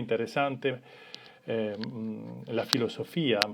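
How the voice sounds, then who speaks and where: A man is speaking fairly slowly. His pitch varies in an ordinary way. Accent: Italian. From Italy. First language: Italian (speaking Spanish). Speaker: family constellations facilitator. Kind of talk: live stream introduction. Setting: Instagram live. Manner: hesitant, many fillers.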